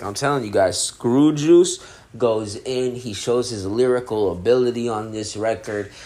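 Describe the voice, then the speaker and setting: Relaxed-toned man at a medium pitch, fairly slow, with ordinary pitch variation and noticeable background noise. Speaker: podcast host reviewing music. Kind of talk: casual solo album review. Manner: laid-back, relaxed.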